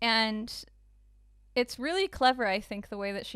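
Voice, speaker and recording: A woman's ordinary speaking voice, fairly high in pitch, at a moderate pace with ordinary pitch variation, on a very clean recording with a silent background. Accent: American. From United States, with long childhood stay in the Netherlands. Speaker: podcast co-host. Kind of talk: casual chat.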